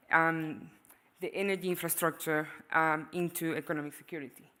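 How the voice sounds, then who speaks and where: In a Venezuelan accent, the speaker talks at a moderate pace with a bright, sharp tone. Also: woman. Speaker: economist, panelist. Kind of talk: panel discussion presentation. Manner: hesitant, many fillers.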